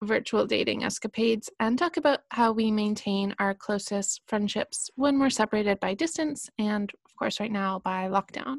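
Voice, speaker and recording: Recorded dry and close with no echo, a woman with a fairly high, somewhat breathy voice speaks at a moderate pace with lively intonation. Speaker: podcast host. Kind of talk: casual chat.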